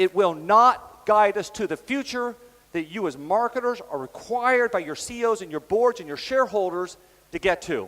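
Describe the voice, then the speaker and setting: The intonation is lively throughout. Loudness swings in a big way. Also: man, high pitch for a man. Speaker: business executive and conference keynote speaker. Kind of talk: conference keynote. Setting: stage with audience. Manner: fast.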